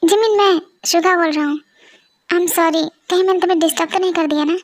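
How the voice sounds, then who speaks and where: Putting on a character voice, a woman talks very fast in an extremely high pitch with monotone, flat intonation. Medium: audio drama. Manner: warm, polite.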